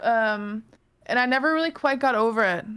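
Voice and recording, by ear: At a moderate pace, a woman speaks with a fairly high pitch, ordinary pitch variation, and a clear, smooth, fairly bright tone.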